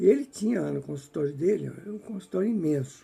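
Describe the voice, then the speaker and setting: Dark, mellow male speech at a moderate pace. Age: 70s. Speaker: spiritist book reader and commentator. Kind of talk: casual commentary. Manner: halting.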